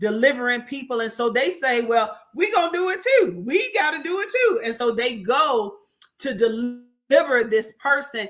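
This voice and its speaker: The speaker goes at a fairly slow pace on a very clean recording with a silent background. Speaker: minister. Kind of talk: casual chat. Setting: live stream. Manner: loud.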